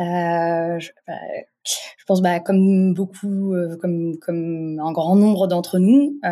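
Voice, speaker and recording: The tone is dark and mellow, heard on a very clean recording against a silent background. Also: woman. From Morocco. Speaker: entrepreneur, founder of an online zero-waste shop. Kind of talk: interview. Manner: halting, many fillers.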